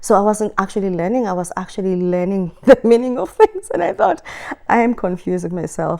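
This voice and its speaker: A woman's medium-pitched voice moves fairly quickly and shows ordinary pitch variation. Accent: South African. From South Africa. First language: Xhosa. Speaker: writer. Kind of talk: interview talk.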